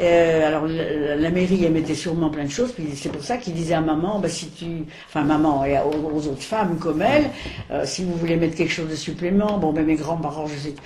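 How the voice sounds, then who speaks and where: The speech comes at a fairly quick pace with ordinary pitch variation. Audible room echo and noticeable background noise fill the recording. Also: woman, very deep, low pitch for a woman. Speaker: elderly witness recounting wartime childhood. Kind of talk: oral history interview. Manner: halting.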